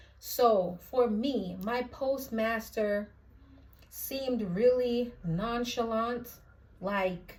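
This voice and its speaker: Speaking very slowly with a Jamaican accent, a woman keeps a fairly even intonation at a fairly high pitch, and audible room echo surrounds her voice. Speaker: postal clerk vlogger. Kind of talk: casual vlog. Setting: indoors at her mother's house in Jamaica.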